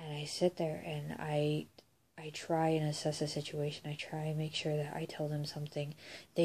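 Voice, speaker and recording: Her voice is very deep and low, with a dark, mellow tone, somewhat breathy, as the woman speaks at a moderate pace. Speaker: vlogger. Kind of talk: casual monologue vlog. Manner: rambling, halting.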